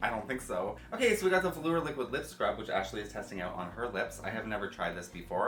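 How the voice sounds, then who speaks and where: Against noticeable background noise and audible room echo, a man talks at a very fast pace. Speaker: beauty youtuber. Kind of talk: casual unboxing chat.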